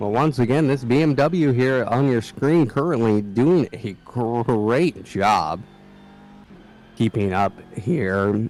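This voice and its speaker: With an American accent, a man speaks at a very slow pace and medium pitch. His intonation is lively. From US Midwest. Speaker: sim racing commentator. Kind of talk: live commentary.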